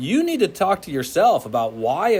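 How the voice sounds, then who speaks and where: A man talks with very wide swings in pitch. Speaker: physics teacher. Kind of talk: classroom lecture.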